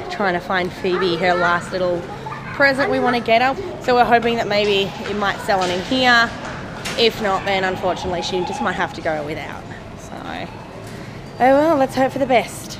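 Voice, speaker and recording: A woman speaks at a moderate pace with crowd noise in the background. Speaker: family vlogger. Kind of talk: casual vlog chat. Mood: playful and joking. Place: shop. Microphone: phone near.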